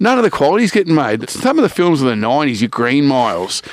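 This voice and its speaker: A man with an Australian accent speaks at a fairly quick clip in a fairly high voice, his pitch swinging very widely. The sound is dry and close with no echo, though background noise is noticeable. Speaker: podcast co-host. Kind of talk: casual chat. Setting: studio.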